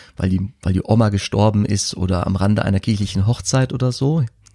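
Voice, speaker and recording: A man speaks at a moderate pace with a dark, mellow tone and ordinary pitch variation. The recording is very clean, with a silent background and a dry, close sound with no echo. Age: 30s. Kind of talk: casual chat.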